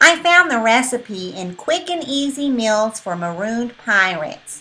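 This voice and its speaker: A put-on character voice at a moderate pace. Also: woman, fairly high pitch for a woman. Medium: read story. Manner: polite, mild.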